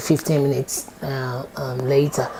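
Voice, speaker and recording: Noticeable background noise sits behind the speaker. She is a woman with a Ghanaian accent. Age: 50s. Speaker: support worker. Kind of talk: oral history interview answer.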